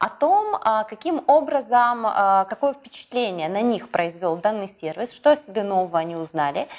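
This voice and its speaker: A woman speaks in a fairly high voice that swings very widely in pitch. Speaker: business YouTube blogger and mentor. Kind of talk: vlog-style address to viewers. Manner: energetic, enthusiastic.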